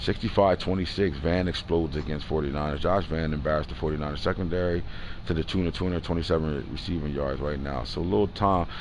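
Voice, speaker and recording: A man talks at a very fast pace in a very deep, low voice with ordinary pitch variation, and audible room echo surrounds him. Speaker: gaming livestream host. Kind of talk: casual livestream talk recapping game results.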